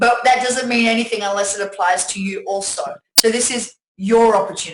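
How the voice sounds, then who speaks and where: A woman with an Australian accent speaks at a fairly quick pace and a fairly high pitch, with ordinary pitch variation. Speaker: network marketing presenter. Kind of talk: sales pitch webinar. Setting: webinar from home. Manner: animated.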